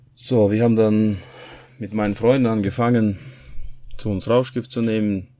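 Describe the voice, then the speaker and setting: A man speaks here. His voice sits fairly low, and its pitch moves in an ordinary way. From Kazakhstan. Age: 30s. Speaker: church member giving testimony. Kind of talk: testimony. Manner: halting.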